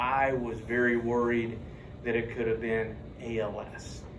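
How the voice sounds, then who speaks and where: At a fairly slow pace, a man talks in an ordinary speaking voice at medium pitch. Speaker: university instructor. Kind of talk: casual classroom talk.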